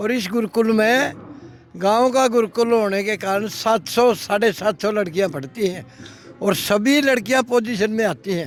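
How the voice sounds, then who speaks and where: Pitch variation here is ordinary. The man's voice is high in pitch. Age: 70s. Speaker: retired bank manager, local elder. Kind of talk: interview.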